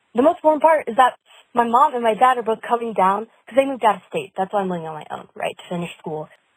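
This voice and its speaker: In a Californian accent, a woman talks at a very fast pace with very wide pitch swings and big swings in loudness, the sound dry and close with no echo. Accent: Californian American. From Southern California, Ventura County. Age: 20s. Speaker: caller, college student. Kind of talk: voice message.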